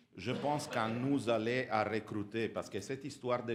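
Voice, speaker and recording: A man with an Italian accent at a fairly slow pace. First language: Italian (speaking French). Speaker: audience member at Rotary conference. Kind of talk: audience question. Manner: halting.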